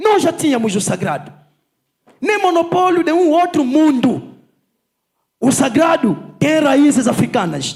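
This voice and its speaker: A man's extremely high voice with lively intonation and very even loudness, at a fairly slow pace with long, frequent pauses, amid audible room echo. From Angola, Zaire province. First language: Kikongo (speaking Portuguese). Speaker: politician and lecturer. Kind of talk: conference lecture. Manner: unhurried.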